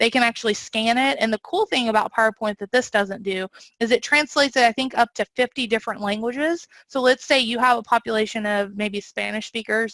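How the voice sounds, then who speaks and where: A woman with a slight Southern US accent, fairly high-pitched and fairly quick, in a dry, close sound with no echo. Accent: slight Southern twang. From US South. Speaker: training and learning design presenter. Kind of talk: webinar presentation with Q&A. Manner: fast when excited; animated.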